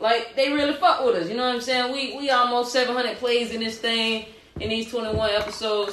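The speaker uses an animated tone at a moderate pace, with noticeable background noise. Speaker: podcast co-host. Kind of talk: casual chat.

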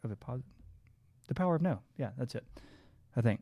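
The speaker is a man with an American accent. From Southeast Texas. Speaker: bariatric doctor. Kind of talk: casual chat.

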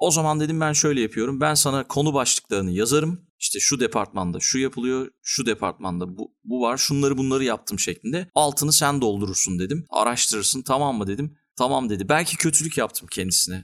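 Here a man with an unremarkable speaking voice talks at a fairly quick pace, hardly pausing, at a medium pitch. His intonation is lively, and the recording is very clean with a silent background. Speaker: podcast host. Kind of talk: casual interview chat.

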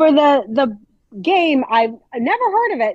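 A woman with an American accent. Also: dry, close sound with no echo. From New Jersey, Morris County. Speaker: attorney, quiz contestant. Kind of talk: casual quiz game chat.

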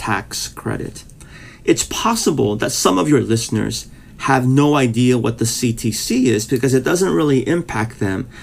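A man speaks at a fairly slow pace with vocal fry. His pitch is medium, with ordinary variation. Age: 50s. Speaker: pastor. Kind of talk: casual interview.

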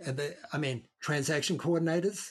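A man with a New Zealand accent, a fairly high pitch and a somewhat breathy sound, at a moderate pace. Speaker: real estate broker. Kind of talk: casual interview.

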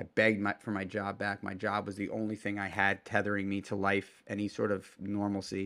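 Recorded very cleanly against a silent background, a man speaks at a fairly low pitch in a bright, sharp tone. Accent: American. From New York City, Manhattan. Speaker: restaurateur and entrepreneur. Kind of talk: casual interview conversation.

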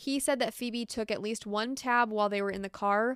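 In a normal speaking voice, a woman speaks at a fairly high pitch with ordinary pitch variation, recorded very cleanly against a silent background. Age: 30s. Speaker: true crime podcaster. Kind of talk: true-crime narration, storytelling with quoted accounts. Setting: home studio, solo microphone. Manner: conversational, sympathetic, engaged storytelling; informal, chatty.

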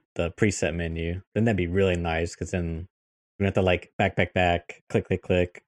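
Very deep, low male voice with an American accent, dry and close with no echo, over a quiet background. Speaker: gaming podcast co-host and video editor. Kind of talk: casual chat. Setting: video call podcast recording.

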